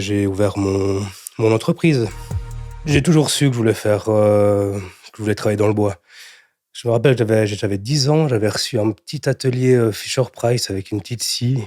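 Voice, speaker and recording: The voice has a dark, mellow tone and a moderate pace on a very clean recording with a silent background. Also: man. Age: 30s. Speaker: entrepreneur, cabinetmaker. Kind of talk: interview excerpts. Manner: hesitant, with fillers and repetitions.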